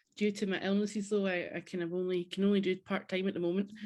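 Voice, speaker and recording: A woman speaks with a Scottish accent at a medium pitch. Her intonation stays fairly even. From Scotland, Central Belt near Glasgow. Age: 30s. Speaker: podcast guest, charity worker. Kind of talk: casual interview chat. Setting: home craft room, remote call.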